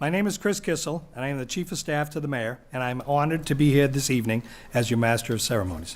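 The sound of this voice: At a fast pace, a man talks at medium pitch with lively intonation.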